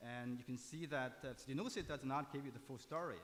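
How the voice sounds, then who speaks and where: Audible room echo surrounds a man speaking at medium pitch and a fairly quick pace, with ordinary pitch variation. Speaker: imaging researcher. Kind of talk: conference talk. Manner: halting, many fillers; fast.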